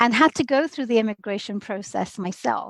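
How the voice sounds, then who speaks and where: A woman with a British accent speaks at a fairly quick pace and a fairly high pitch. The sound is dry and close, with no echo. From London, England (also Bangladesh). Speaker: immigration lawyer. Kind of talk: podcast interview.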